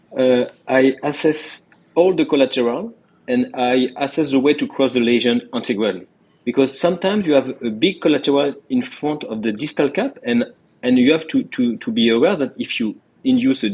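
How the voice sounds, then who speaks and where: A man with a French accent speaks at a moderate pace with lively intonation. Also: fairly high pitch for a man. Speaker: interventional cardiologist. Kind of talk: interview. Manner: halting, many repetitions.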